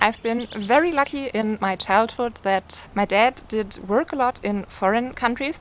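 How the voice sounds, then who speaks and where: A woman with a German accent, fairly high-pitched, at a fairly slow pace. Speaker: lifestyle YouTuber. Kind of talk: casual Q&A monologue.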